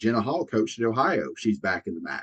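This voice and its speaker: Recorded dry and close with no echo, a man with a Southern US accent talks at a fairly quick pace. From US South. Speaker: college softball analyst. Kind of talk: casual sports chat.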